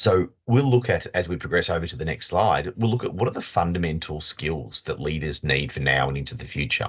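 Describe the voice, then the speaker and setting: A man speaks with a very deep, low pitch, vocal fry and very wide pitch swings. His pace is fairly quick, with hardly any pauses. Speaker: leadership consultant. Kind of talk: webinar presentation. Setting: video call. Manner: fast.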